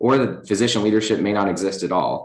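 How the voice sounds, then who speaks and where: Talking at a very fast pace, a man with a fairly low pitch is heard with audible room echo. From Virginia (Lynchburg). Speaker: chief resident physician. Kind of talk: lecture. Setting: hospital auditorium, in person and streamed. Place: hall.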